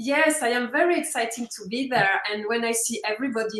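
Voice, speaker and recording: The speaker has a French accent and a moderate pace. Pitch variation is ordinary. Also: woman. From France, Alsace. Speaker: network marketer. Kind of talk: webinar interview. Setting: online webinar.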